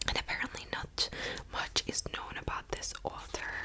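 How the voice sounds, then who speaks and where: Whispered words from a woman, with noticeable noise in the background. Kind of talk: ASMR whispered book haul; casual talk to camera. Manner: whispered, soft-spoken.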